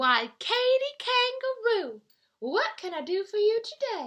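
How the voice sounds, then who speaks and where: Putting on a squeaky character voice, a woman projects at an extremely high pitch with very wide pitch swings at a fairly slow pace. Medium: read story.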